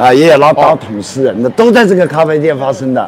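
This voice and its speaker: A man speaks at a fairly high pitch over noticeable background noise. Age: 60s. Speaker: tour guide. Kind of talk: casual chat. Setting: outdoors.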